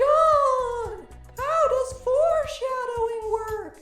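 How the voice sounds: In a put-on character voice, someone talks at a very slow pace with an extremely high pitch and a raspy edge, faint music in the background.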